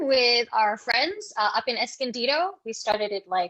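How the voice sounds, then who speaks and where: A woman's raised, projected voice with very wide pitch swings at a moderate pace. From Fiji (Indo-Fijian). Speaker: escape room owner and improv performer. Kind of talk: casual interview chat.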